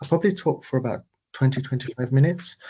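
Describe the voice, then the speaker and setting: A man talks with lively intonation and a somewhat breathy voice. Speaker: AI trainer for patient organisations. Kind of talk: webinar presentation. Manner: fast.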